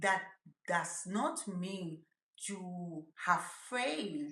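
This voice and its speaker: Speaking at a very slow pace, a woman with a strong Spanish accent has a bright, sharp tone and a medium pitch. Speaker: mental health YouTuber. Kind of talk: motivational talk to camera.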